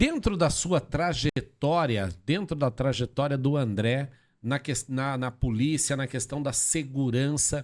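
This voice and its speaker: This very clean recording has a silent background. A man speaks at a very slow pace in a fairly high pitch, with ordinary pitch variation and hardly any pauses. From Brazil, Sorocaba. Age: 50s. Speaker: podcast host, real estate. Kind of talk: podcast interview.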